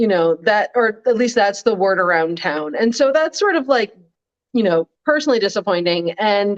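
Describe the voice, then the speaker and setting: A woman with a normal speaking voice talks at a moderate pace and medium pitch with lively intonation and very even loudness, in a dry, close sound with no echo. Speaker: political blogger. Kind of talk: casual chat. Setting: live stream.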